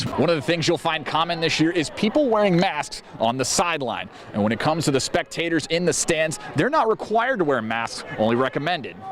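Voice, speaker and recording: In an upbeat, energetic tone, a man speaks fairly quickly with lively intonation and very even loudness. Noticeable background noise is present. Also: fairly high pitch for a man. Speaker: TV sports anchor and reporter. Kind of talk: TV news and sports reporting, anchor and standup delivery. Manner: upbeat, energetic broadcast delivery.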